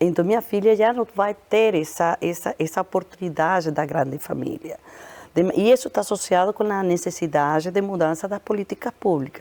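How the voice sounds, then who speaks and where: A woman with a dark, mellow tone and medium pitch speaks at a moderate pace with ordinary pitch variation, in a dry, close sound with no echo. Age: 60s. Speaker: public health researcher. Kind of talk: interview.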